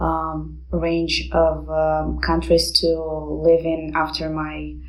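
A woman talks with a Romanian accent. Noticeable background noise runs behind her. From Moldova. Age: 20s. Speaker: university student. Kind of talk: interview.

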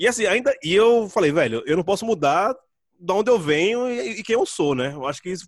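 A man with a Pernambuco accent and lively intonation, in a dry, close sound with no echo. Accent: Pernambuco accent, kept. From Brazil, Pernambuco (Recife area). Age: 30s. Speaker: writer, podcaster and musician. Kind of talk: casual interview chat. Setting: video call.

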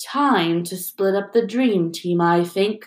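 Using a put-on character voice, a woman speaks at a fairly slow pace and medium pitch with ordinary pitch variation. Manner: sneering.

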